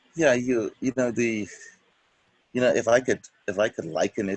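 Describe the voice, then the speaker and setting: A man speaks in a Bahamian accent. The sound is dry and close, with no echo. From Bahamas. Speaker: church member. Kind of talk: interview.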